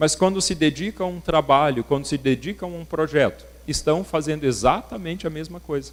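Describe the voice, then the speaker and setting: A man with an unremarkable speaking voice and a fairly high pitch speaks at a fairly slow pace with lively intonation. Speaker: workshop speaker. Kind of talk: lecture.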